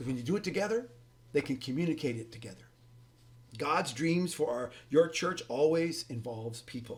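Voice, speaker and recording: A somewhat breathy man with lively intonation and big swings in loudness. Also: fairly high pitch for a man, moderate pace. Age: 60s. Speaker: pastor and ministry leader teaching church leaders. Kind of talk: recorded teaching lesson. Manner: preachy, informal with hesitations.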